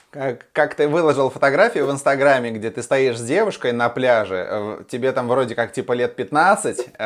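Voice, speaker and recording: This man, with a fairly high pitch, speaks at a very slow pace with ordinary pitch variation. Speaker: interviewer, radio host. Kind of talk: interview, host questions.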